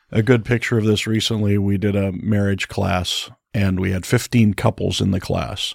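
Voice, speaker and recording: A man talks in an unremarkable speaking voice at a moderate pace, fairly low in pitch with fairly even intonation. The sound is dry and close with no echo, in a very clean recording with a silent background. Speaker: pastor. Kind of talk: panel discussion on church and family.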